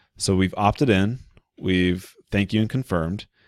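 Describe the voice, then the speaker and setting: A man speaks at a very deep, low pitch with ordinary pitch variation. The sound is dry with no echo, over a quiet background. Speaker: online marketing tutorial creator. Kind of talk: screen-share tutorial. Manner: fast; casual, conversational. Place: home room. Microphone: studio mic.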